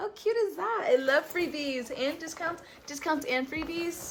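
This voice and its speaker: A woman speaks in an animated tone over noticeable background noise. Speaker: vintage clothing seller and fashion vlogger. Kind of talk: casual try-on haul vlog. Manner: fast.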